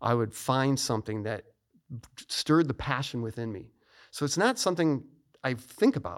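An American-accented man at a moderate pace, medium in pitch, with lively intonation, long and frequent pauses, and a very clean recording over a silent background. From US Midwest, Chicago suburbs. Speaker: retired fighter pilot and author. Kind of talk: interview.

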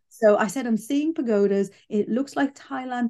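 With a British accent, a woman speaks at a moderate pace in a high pitch and a dark, mellow tone, her intonation lively. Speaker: psychic medium. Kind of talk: casual interview chat. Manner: straight-talking, blunt.

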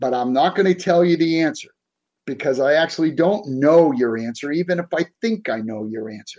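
With a Boston accent, a man talks at a fairly quick pace in a fairly high pitch, his intonation lively. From South Boston, Massachusetts. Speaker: executive coach. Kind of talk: interview.

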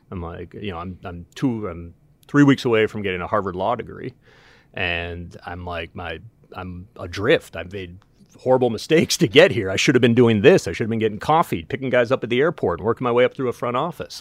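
On a very clean recording with a silent background, a man with a normal speaking voice and an American accent talks at a fairly quick pace and a fairly low pitch, with lively intonation and big swings in loudness. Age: 50s. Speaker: baseball team general manager. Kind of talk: casual chat.

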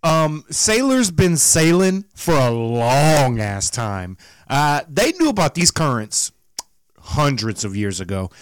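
On a very clean recording with a silent background and a dry, close sound with no echo, a man speaks very slowly at a fairly high pitch with very wide pitch swings. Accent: Southern US. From US South. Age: 30s. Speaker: podcast co-host. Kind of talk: casual chat.

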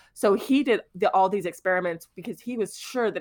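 A woman with an American accent speaks in an unremarkable speaking voice of medium pitch and ordinary pitch variation, in a very clean recording with a silent background. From Houston, Texas. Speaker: podcast co-host, author. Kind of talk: casual chat.

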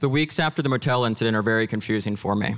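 A man with an unremarkable speaking voice and an American accent, medium in pitch, at a fairly quick pace, on a very clean recording with a silent background. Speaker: storyteller. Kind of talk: personal story told on stage. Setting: stage with audience.

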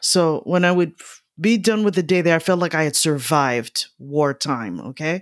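Her loudness very even, a woman speaks at a moderate pace with a fairly low pitch and ordinary pitch variation. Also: very clean recording, silent background. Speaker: retired physician and yoga teacher. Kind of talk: casual interview.

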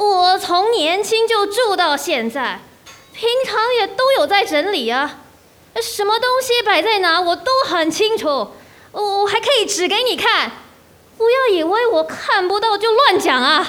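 A woman's put-on character voice, extremely high in pitch and fairly bright in tone, with lively intonation at a fairly slow pace.

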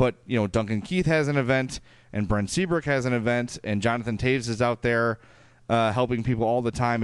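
Speaking fairly quickly with a strong Chicago accent, the voice shows ordinary pitch variation. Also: man. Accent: thick Chicago. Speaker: podcast host. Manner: casual, conversational.

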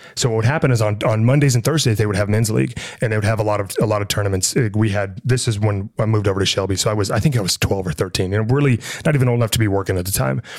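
A man with an American accent speaks very fast at a fairly low pitch. His loudness stays very even, and his pitch varies in an ordinary way. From Montana, US (Libby). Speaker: business consultant and military veteran. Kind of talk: casual interview. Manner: halting, repeats words.

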